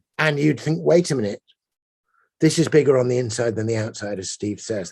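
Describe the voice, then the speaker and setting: A somewhat breathy man with an English accent, medium pitch, lively intonation and a fairly quick pace. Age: 60s. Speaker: poet. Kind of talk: panel conversation.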